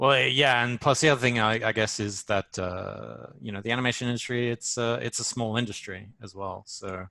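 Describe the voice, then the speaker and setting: Over a quiet background, a man with an Australian accent talks at a moderate pace, his medium pitch carrying a bright, sharp tone and fairly even intonation. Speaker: storyboard artist. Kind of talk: casual chat. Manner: hesitant, many fillers.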